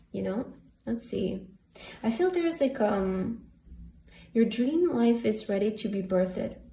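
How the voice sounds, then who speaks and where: The woman's voice is fairly high with lively intonation. She goes at a fairly slow pace with long, frequent pauses, in audible room echo. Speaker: tarot reader. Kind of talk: tarot reading. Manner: casual, filler-heavy; stuttering at times.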